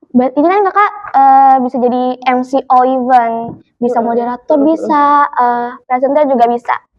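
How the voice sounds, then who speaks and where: This woman's voice is high in pitch, and its pitch variation is ordinary. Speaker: podcast host. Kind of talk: podcast interview host.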